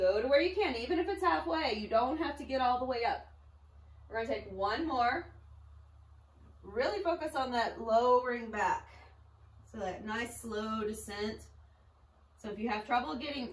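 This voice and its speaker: A woman with a fairly high pitch speaks with lively intonation and long, frequent pauses. Audible room echo and noticeable background noise fill the recording. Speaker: pilates instructor. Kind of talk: fitness class instruction.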